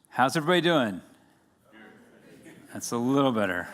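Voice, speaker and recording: A man speaks with an American accent at a very fast pace. His tone is energetic. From United States. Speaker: conference speaker. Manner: energetic, engages audience.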